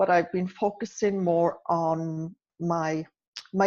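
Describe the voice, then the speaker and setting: A woman speaks with a Welsh accent, her pitch fairly low. Her tone is dark and mellow against a quiet background. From Wales. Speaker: nurse and author. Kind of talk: podcast interview.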